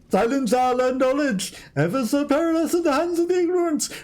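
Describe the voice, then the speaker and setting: A man's put-on character voice at a moderate pace. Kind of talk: archaic, theatrical. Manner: stupidly fast and weird.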